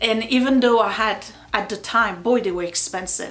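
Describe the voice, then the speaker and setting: Speaking with a slight French accent, a woman uses a fairly high pitch and fairly even intonation over noticeable background noise. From France. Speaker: YouTuber. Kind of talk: casual chat. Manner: hesitant, many fillers.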